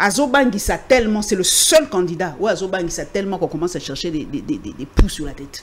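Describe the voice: Speaking at a fast pace, a woman uses a fairly low pitch and lively intonation.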